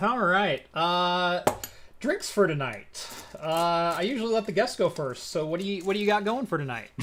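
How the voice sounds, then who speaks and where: Against noticeable background noise, a high-pitched man talks at a moderate pace with lively intonation. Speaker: tech YouTuber and podcast host. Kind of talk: casual chat.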